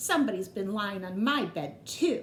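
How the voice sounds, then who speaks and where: A woman growls in a put-on character voice at a medium pitch. She keeps a moderate pace over clear background noise. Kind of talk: bedtime story. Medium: read story. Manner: gentle.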